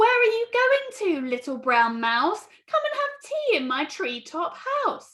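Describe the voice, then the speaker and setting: A put-on character voice from a woman, extremely high-pitched, fairly slow, with very wide pitch swings. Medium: read story.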